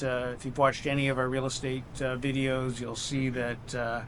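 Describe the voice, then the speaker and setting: With audible room echo, a man speaks at a moderate pace and a fairly high pitch. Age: 60s. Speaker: expat vlogger. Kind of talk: casual chat. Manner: halting, many fillers.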